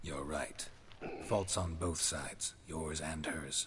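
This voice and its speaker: Over clear background noise, a man's very deep, low put-on character voice moves at a fairly slow pace. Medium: video game. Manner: terse, dry, flat.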